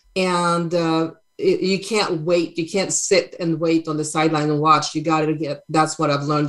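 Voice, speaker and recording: A woman with a Swedish accent and a very deep, low pitch talks at a fairly quick pace with fairly even intonation. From Sweden. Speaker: brand photographer. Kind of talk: interview. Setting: video call. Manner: halting.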